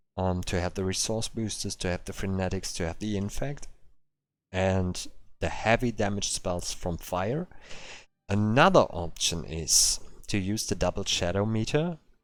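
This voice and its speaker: A man's fairly low-pitched voice with a German accent, ordinary pitch variation and a moderate pace, in a very clean recording over a silent background. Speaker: game streamer. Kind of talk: live stream commentary. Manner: halting, many fillers.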